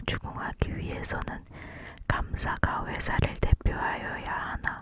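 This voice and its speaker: Whispered words come at a very slow pace, with noticeable background noise around them. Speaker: law student. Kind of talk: ASMR textbook reading.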